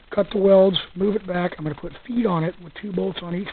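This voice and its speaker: A man speaks with fairly even intonation. There is noticeable background noise behind him. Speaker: hobbyist gasifier builder. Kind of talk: casual talk to camera, walkaround tutorial. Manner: soft-spoken.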